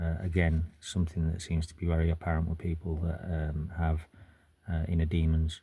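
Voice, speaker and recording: A man with a British accent, very deep, low pitch, a dark, mellow tone, somewhat breathy delivery, monotone, flat intonation and a moderate pace. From UK. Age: 40s. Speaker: military veteran vlogger. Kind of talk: personal testimony to camera. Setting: in a car. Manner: halting, many fillers.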